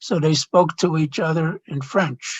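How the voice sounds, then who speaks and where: A man talks at a fairly slow pace with a Chicago accent. His pitch is fairly high, with ordinary variation. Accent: Chicago American English. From US Midwest, Chicago. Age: 70s. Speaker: retired doctor. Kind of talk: oral history interview. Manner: halting, with fillers.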